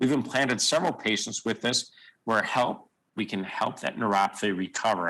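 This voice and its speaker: Bright, sharp tone from a man at a fairly quick pace, with ordinary pitch variation and a quiet background. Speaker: surgeon. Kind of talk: conference lecture. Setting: video call. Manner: fast.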